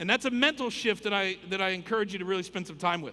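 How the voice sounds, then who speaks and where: A man speaks in a raised, projected voice. His intonation is lively. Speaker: conference speaker. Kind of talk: keynote talk. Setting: stage with audience. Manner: fast.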